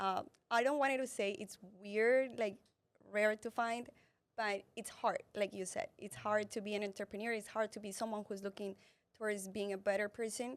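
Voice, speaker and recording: Speaking in a Colombian accent, a woman has a fairly high voice, fairly even intonation and a moderate pace. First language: Spanish. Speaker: entrepreneur and fitness influencer. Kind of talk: interview testimony. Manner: halting, with false starts.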